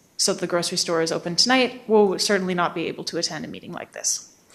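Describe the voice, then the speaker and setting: At a very fast pace, a woman talks in a shaky voice with fairly even intonation. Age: 20s. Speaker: public hearing speaker. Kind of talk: public comment. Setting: council meeting.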